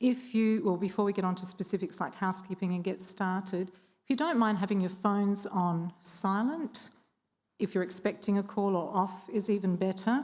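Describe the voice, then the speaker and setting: Somewhat breathy and medium in pitch, a woman speaks with an Australian accent at a moderate pace. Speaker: government training consultant. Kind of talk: forum presentation. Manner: hesitant, many ums.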